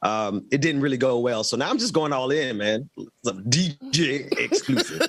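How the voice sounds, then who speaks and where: In a Southern accent, a man talks with an animated tone at a moderate pace. His pitch variation is ordinary. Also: medium pitch for a man. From US South, Mississippi. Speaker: talk show host. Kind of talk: casual chat.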